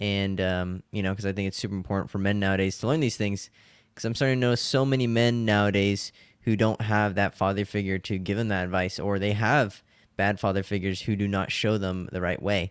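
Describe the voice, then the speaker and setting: This man has a normal speaking voice with fairly low pitch. He talks at a fairly quick pace with fairly even intonation. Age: young. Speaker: dating coach content creator. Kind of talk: interview answers.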